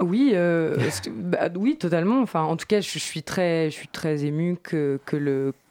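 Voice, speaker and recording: Very slow in pace, a woman with a fairly low pitch uses lively intonation in a dry, close recording with no echo. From France, Bourges (Cher). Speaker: singer. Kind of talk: interview. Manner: halting, many repetitions.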